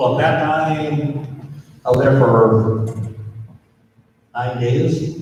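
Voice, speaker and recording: A man with an American accent speaks very slowly at a fairly high pitch, his intonation fairly even, with long, frequent pauses and audible room echo. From Minnesota. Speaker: pastor. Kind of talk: talk to students.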